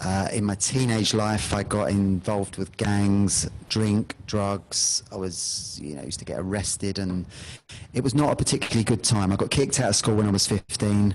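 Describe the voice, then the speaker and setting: His pitch is fairly low. This man's voice shows ordinary pitch variation. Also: moderate pace. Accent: London. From London. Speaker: hypnotherapist. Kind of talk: interview.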